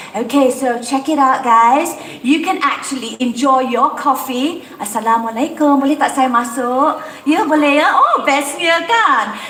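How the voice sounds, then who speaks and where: A woman with a high-pitched voice speaks at a moderate pace, her tone animated, her pitch variation ordinary and her loudness very even. Noticeable background noise and audible room echo surround her. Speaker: event host. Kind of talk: live event presenting. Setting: outdoor event venue.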